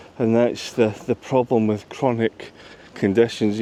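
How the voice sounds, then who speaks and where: A man with a Scottish accent talks at a fairly slow pace and medium pitch, in a dry, close sound with no echo. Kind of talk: casual vlog talking to camera. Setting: outdoors in a park. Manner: stutters sometimes, gets tongue-tied; repeats himself.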